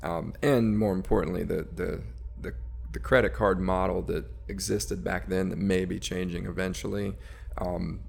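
Very deep and low in pitch, a man talks at a moderate pace with vocal fry and very wide pitch swings. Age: 40s. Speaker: entrepreneur, company CEO. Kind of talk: interview. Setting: studio.

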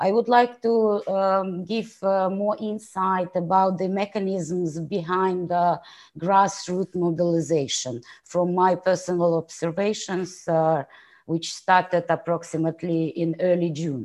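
In an ordinary speaking voice, a woman talks at a fairly slow pace and medium pitch with fairly even intonation against a quiet background. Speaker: audience member, NGO representative. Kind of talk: audience question. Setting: video call, poor audio.

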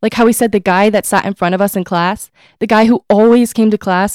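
In an American accent, a woman with a normal speaking voice talks at a fairly quick pace and medium pitch with fairly even intonation, in a dry, close sound with no echo. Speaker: college student author. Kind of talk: reading aloud.

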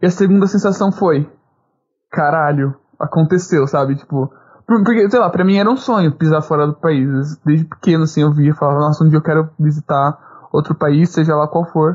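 The delivery is at a moderate pace in a normal speaking voice. Pitch varies in an ordinary way, and loudness stays very even. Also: man, fairly high pitch for a man. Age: 20s. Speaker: podcast co-host, university student. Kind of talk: casual chat.

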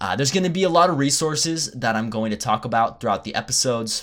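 On a very clean recording with a silent background, a man talks at a fairly quick pace with very wide pitch swings. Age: young. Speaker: podcast host. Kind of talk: solo podcast monologue.

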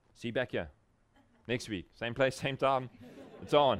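A man with a South African accent and vocal fry speaks at a moderate pace. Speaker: pastor. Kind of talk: conference workshop talk. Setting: breakout room with live audience.

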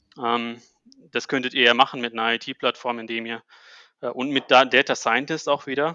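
Pausing long and often, a man speaks at a moderate pace in a monotone, flat intonation. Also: medium pitch for a man. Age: 30s. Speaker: managing director of a tech company. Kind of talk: casual interview. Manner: halting, many fillers.

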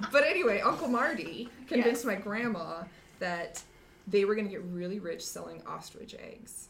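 Noticeable background noise and audible room echo fill the recording. A woman talks at a moderate pace over it. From Montana. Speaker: podcast guest. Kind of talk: casual chat.

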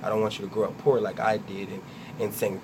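A man with a fairly low voice talks at a fairly quick pace. Audible room echo and noticeable background noise surround him. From Trenton, New Jersey. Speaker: web series creator and producer. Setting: radio studio.

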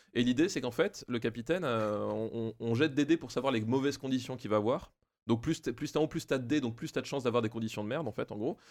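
On a very clean recording with a silent background, a man talks at a very fast pace and medium pitch with ordinary pitch variation. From Alsace, France. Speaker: primary school teacher. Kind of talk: casual chat.

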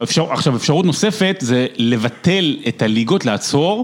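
Fairly slow speech from a man, fairly high in pitch, with very wide pitch swings. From Israel, Rehovot. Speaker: sports broadcaster. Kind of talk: casual chat.

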